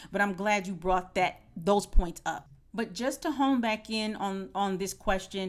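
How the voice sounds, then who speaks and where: A woman talks at a moderate pace in an ordinary speaking voice. Her pitch is medium, and she has an American accent. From United States. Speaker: podcast host, former professor. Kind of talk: podcast conversation.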